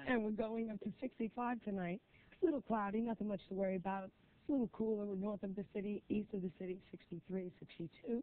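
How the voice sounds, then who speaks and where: Talking at a very fast pace, a woman speaks with an American accent. Her pitch is medium, with ordinary pitch variation. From New Jersey / Brooklyn, New York. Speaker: jazz singer. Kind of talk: TV weather forecast read.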